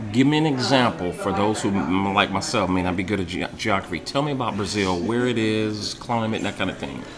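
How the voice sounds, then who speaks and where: A man with a Detroit accent at fairly low pitch, with hardly any pauses, amid noticeable background noise and audible room echo. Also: ordinary pitch variation, fairly quick pace. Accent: Detroit American English. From US Midwest, Detroit. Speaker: ministry host, interviewer. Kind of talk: interview.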